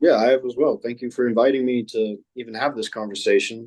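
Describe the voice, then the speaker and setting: A man speaks in a normal speaking voice at a moderate pace. His intonation stays fairly even. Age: 20s. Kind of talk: debate discussion.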